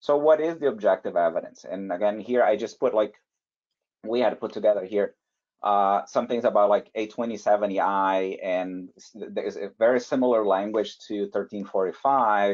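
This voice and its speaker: With a non-native accent, a man speaks at a moderate pace. His pitch is fairly low. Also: ordinary pitch variation. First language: not English. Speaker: validation and compliance expert, webinar panelist. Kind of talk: webinar presentation. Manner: halting, many fillers and restarts.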